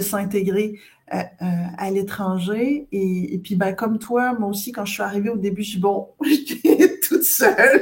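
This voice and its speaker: A woman's somewhat breathy voice at a fairly slow pace, with lively intonation. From Quebec. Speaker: scientific director in cosmetics. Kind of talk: interview conversation.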